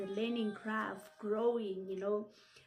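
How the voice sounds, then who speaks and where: Amid music in the background and audible room echo, a woman speaks at a moderate pace and medium pitch with fairly even intonation. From Lesotho. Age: 20s. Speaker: English teacher. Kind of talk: self-introduction video.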